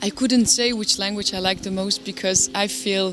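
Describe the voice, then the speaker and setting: A woman's medium-pitched voice with an Albanian accent, moderate pace and ordinary pitch variation, over noticeable background noise. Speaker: jazz singer. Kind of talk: interview. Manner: halting.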